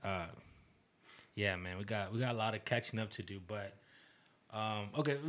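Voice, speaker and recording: A man speaks at a moderate pace. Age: 20s. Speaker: podcast co-host. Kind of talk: casual chat. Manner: animated.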